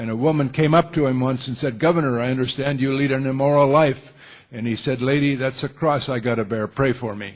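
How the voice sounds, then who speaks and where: Over noticeable background noise, a man with an American accent talks at a fairly quick pace. His pitch is medium and his intonation fairly even. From Minnesota. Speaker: veteran journalist and visiting professor. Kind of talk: public talk to audience. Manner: halting.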